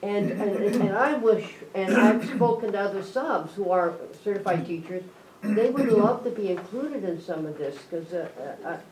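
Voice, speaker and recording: Through noticeable background noise and audible room echo, a woman talks at a medium pitch and a moderate pace. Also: ordinary pitch variation. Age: 70s. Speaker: substitute teacher. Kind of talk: public meeting remarks. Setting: school board meeting.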